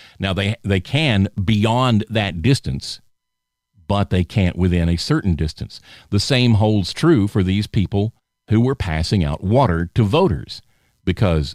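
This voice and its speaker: A man in a Southern US accent speaks at a moderate pace and a fairly low pitch, on a very clean recording with a silent background and a dry, close sound with no echo. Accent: Southern American. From US South (Alabama). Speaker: podcast host. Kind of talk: political commentary monologue. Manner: casual, conversational.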